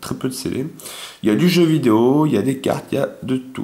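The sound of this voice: A man with a medium pitch and a slightly mellow tone talks at a fast pace.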